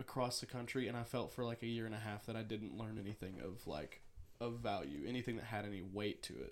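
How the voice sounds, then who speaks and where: A man speaks in an ordinary speaking voice at a medium pitch. His intonation stays fairly even. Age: 20s. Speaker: podcast co-host. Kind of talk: casual chat.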